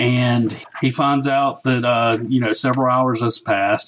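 In a strong Southern US accent, a man speaks at a moderate pace and a medium pitch. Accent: thick Southern US. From US South. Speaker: guest co-host. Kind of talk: casual chat.

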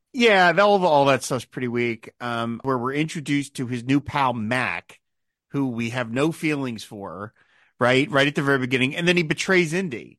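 A man's voice at medium pitch, a normal speaking voice with lively intonation and a moderate pace, dry and close with no echo against a quiet background. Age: 50s. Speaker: film podcast host. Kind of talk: casual chat.

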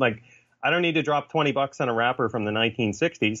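With a Canadian accent, a man in an unremarkable speaking voice talks at a fairly quick pace, at medium pitch with ordinary pitch variation. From Canada. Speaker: author and graphic designer. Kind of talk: casual chat.

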